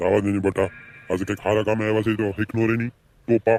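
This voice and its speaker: A man's put-on character voice, fairly low in pitch, monotone and flat in intonation, at a fairly quick pace. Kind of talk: comic village sketch acting. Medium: comedy sketch. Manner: blustering, bossy.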